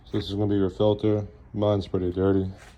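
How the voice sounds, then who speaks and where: Moderate-paced speech over background music. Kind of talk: casual DIY tutorial talk. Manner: casual, relaxed.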